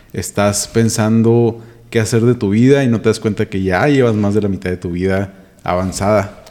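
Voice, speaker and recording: A man with a Mexican accent speaks at a moderate pace and a fairly low pitch. His tone is dark and mellow, with fairly even intonation. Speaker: teacher and podcaster. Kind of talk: casual chat.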